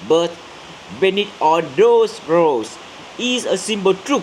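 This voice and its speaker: Noticeable background noise sits behind a man speaking at a very slow pace in a high pitch. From central Vietnam. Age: 30s. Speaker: graduate student and community worker. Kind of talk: English speaking practice presentation. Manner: halting, many fillers and restarts.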